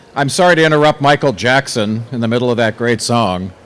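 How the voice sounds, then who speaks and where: A man's voice over noticeable background noise. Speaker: event announcer. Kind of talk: PA announcement. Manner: radio announcer style.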